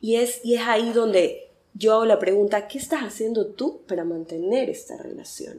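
Her tone is dark and mellow, at a fairly high pitch. The woman speaks at a moderate pace with lively intonation. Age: 30s. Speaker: communications worker and faith content creator. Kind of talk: casual interview.

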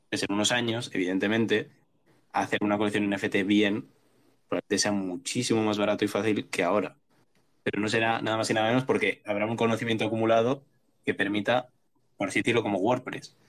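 The speech runs at a very fast pace with long, frequent pauses, very even loudness and fairly even intonation. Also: man, fairly low pitch for a man. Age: 20s. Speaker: programmer. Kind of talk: casual chat.

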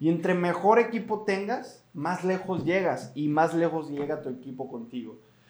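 A man with a high pitch speaks at a moderate pace in an animated tone, with lively intonation and hardly any pauses. Noticeable background noise runs underneath. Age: 20s. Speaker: podcast host. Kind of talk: motivational podcast talk.

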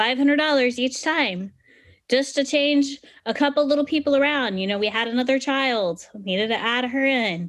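A woman speaks at a high pitch and a moderate pace. Her pitch varies in an ordinary way, and the background is quiet. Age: 30s. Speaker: financial podcast host and planner. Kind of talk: educational monologue. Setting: screen-shared online session.

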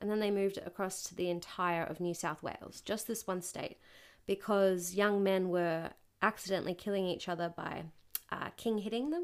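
On a very clean recording with a silent background, a woman with an Australian accent speaks at a medium pitch and a fairly quick pace with fairly even intonation. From Australia, Newcastle NSW. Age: 20s. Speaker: podcast guest. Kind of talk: casual chat. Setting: host's home.

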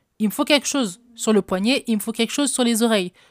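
A woman's fairly high voice with lively intonation, dry and close with no echo, on a very clean recording with a silent background. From French housing estate (cité). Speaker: podcast host, relationship coach. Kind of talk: solo advice podcast.

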